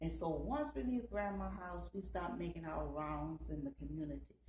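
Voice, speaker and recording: At a moderate pace, a woman talks with a Southern US accent. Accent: Gullah, Southern US. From Georgetown, South Carolina. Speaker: storyteller. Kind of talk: personal storytelling to camera.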